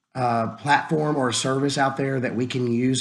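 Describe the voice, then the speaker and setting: Audible room echo surrounds this man's voice. His pitch is medium and his intonation monotone and flat. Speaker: small business owner, vacation rental. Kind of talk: tutorial. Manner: casual, with fillers.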